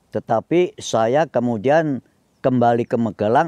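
Very slowly, a man talks at a medium pitch with a dark, mellow tone and ordinary pitch variation. The background is quiet and the sound dry, with no echo. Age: 80s+. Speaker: Indonesian exile and retiree; interviewee. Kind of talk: interview, life story. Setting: outdoors in a garden. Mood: calm, reflective, sometimes animated.

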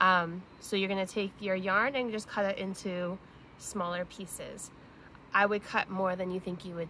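Light background noise behind a woman's moderate pace. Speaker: teacher or parent doing a kids' craft. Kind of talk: tutorial. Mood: cheerful, warm. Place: garden. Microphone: phone near.

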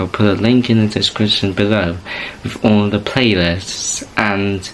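A man talks at a fairly slow pace in a fairly low voice with fairly even intonation, over light background noise. It is an unremarkable speaking voice. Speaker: YouTube channel host. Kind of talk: casual vlog chat. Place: home room. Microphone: webcam.

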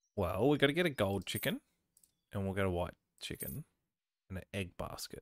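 A man with an Australian accent and a fairly low pitch talks at a fairly quick pace with lively intonation, yet with long, frequent pauses. The sound is dry and close, with no echo. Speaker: gaming YouTuber. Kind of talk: let's play commentary. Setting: home recording setup. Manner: casual, self-deprecating.

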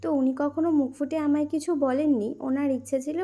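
A woman speaks in a dark, mellow tone. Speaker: vlogger. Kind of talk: casual vlog narration.

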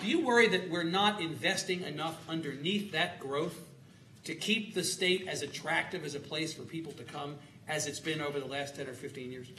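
Over light background noise and audible room echo, a man with an American accent talks at a fairly quick pace, his fairly high pitch showing ordinary variation. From Texas. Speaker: moderator of panel discussion. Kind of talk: moderated panel discussion. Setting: stage with live audience. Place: stage. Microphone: lapel.

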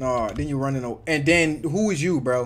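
A man speaks at a moderate pace with a fairly high pitch, lively intonation and an animated tone. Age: young. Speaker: gaming streamer. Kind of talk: live gameplay commentary. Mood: relaxed, amused. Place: home room.

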